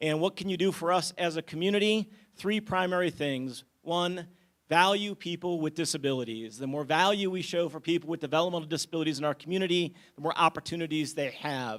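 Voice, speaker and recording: On a very clean recording with a silent background, a man talks loudly at a fairly quick pace, his voice high in pitch with ordinary pitch variation. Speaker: nonprofit CEO. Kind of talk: short public presentation. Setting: community meeting with audience.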